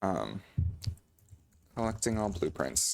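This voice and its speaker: Speaking at a fairly slow pace, a man with a very deep, low pitch and vocal fry uses lively intonation. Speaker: video game streamer. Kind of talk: live gameplay commentary. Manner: not loud.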